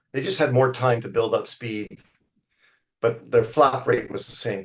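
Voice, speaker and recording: In a Canadian accent, a man with an ordinary speaking voice talks at a moderate pace and medium pitch. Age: 60s. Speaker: wildlife biologist. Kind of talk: lecture. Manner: conversational, with fillers.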